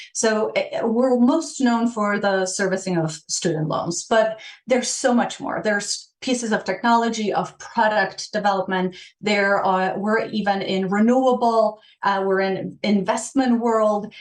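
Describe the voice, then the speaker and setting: The woman talks at a fairly slow pace with a Polish accent. Her voice is fairly high in pitch. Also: ordinary pitch variation. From Poland. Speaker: change management director. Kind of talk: podcast interview. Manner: halting, many fillers.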